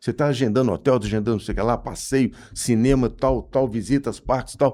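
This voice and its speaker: Speaking at a fairly quick pace, a man with a plain, everyday voice keeps to medium pitch and fairly even intonation. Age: 60s. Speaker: management consultant. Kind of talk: casual interview chat. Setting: studio.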